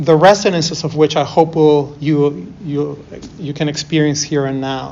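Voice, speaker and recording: A man with a fairly high pitch speaks in fairly even intonation, with audible room echo and noticeable background noise. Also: moderate pace. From Peru, moved to Toronto as a child. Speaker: artist. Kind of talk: lecture. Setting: university class.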